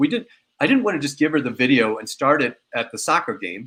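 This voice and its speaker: Delivery moves at a fairly quick pace. Its intonation is lively. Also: man. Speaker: company founder. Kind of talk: product demo interview. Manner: fast.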